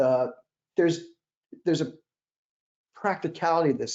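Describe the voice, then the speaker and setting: A man speaks fairly quickly, and his pitch varies in an ordinary way. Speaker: wireless systems engineer. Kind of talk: technical discussion. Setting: live stream. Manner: fast; halting.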